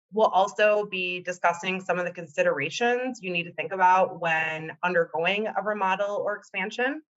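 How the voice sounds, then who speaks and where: With a Wisconsin accent, a woman speaks at a medium pitch and moderate pace, with ordinary pitch variation and hardly any pauses. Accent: Wisconsin accent, noticeable. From Wisconsin, US Upper Midwest. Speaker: interior designer. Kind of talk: webinar presentation. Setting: online webinar.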